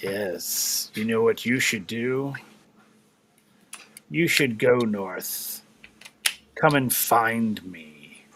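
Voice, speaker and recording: A man's put-on character voice, resonant and medium in pitch, with ordinary pitch variation, a very slow pace and long, frequent pauses. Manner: ominous.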